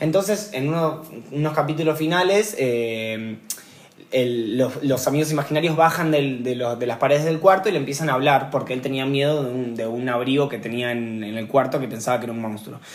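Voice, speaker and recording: A man with a Rioplatense accent speaks at a fairly quick pace in a fairly high pitch. Audible room echo and noticeable background noise fill the recording. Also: ordinary pitch variation. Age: 20s. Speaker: poet. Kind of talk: casual conversation.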